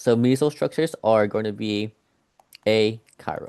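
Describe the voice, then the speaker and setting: The man's pitch is medium. His voice sounds dry and close, without any echo. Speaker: organic chemistry tutor. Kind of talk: casual chat; tutoring session. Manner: halting, many fillers.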